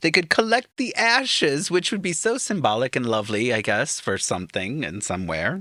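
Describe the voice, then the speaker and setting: A man with an American accent, fairly high in pitch with very wide swings, bright and sharp in tone with vocal fry, hardly any pauses, on a very clean recording with a silent background. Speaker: podcast host. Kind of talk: casual chat.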